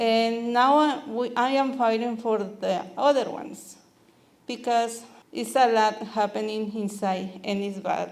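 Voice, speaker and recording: In a Spanish accent, a woman talks at a fairly slow pace with a fairly high pitch and fairly even intonation, while room echo can be heard. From Mexico. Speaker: immigrant rights activist. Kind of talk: talk to meeting. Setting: community meeting.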